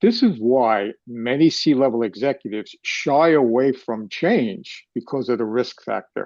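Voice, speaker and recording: In a New York accent, a man speaks at a medium pitch with lively intonation and a dark, mellow tone. The sound is dry and close with no echo, over a quiet background. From New York City. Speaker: retired finance executive. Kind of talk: live interview.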